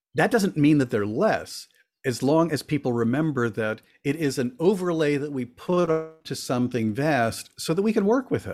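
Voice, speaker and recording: Lively intonation marks this man's fairly high pitch at a moderate pace. He has a plain, everyday voice. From Florida (born in Cuba). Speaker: author and witchcraft elder. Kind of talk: casual chat. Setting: video call.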